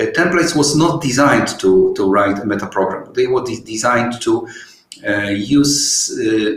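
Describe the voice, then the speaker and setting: Audible room echo surrounds a man who speaks at a moderate pace with a Polish accent. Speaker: software developer. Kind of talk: webinar Q&A. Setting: online webinar. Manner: halting, many fillers.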